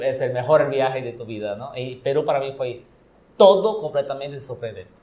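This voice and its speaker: This man's pitch is fairly high, his delivery somewhat breathy and his pace moderate. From Brazil. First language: Portuguese (speaking Spanish). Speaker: podcast guest, traveler. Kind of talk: casual chat.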